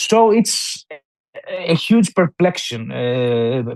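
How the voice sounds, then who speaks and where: Speaking with a Greek accent, a man uses lively intonation at a fairly high pitch. The sound is dry and close, with no echo. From southern Albania, Greek-speaking minority (Himara). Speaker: novelist. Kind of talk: interview. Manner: halting, many fillers and restarts.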